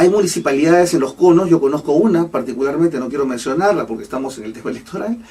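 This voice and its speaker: Over noticeable background noise, a man speaks very fast in a fairly high voice with lively intonation and big swings in loudness. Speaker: economist commentator. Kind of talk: radio interview with call-ins. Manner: hesitant, many fillers.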